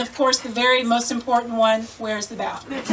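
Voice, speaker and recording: A woman talks at a fairly quick pace with a high pitch and an American accent. Noticeable background noise runs under her voice. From Indianapolis, Indiana, US Midwest. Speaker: Korean adoptee storyteller. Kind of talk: personal storytelling to a live audience.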